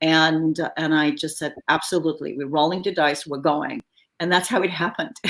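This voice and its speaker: A woman talks at a fairly quick pace with a very deep, low pitch. Her pitch shows ordinary variation. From Bulgaria. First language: French. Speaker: film production designer. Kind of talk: interview. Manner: dramatic inflection; animated.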